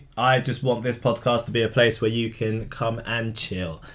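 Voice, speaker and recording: A man speaks at a moderate pace in a plain, everyday voice with a medium pitch. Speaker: podcast co-host. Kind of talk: casual chat.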